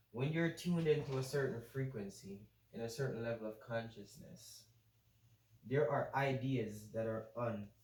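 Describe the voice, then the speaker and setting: A man speaks at a moderate pace in a somewhat breathy voice with ordinary pitch variation, and the room echo is audible. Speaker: manifestation teacher. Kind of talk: whiteboard tutorial. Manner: casual, energetic.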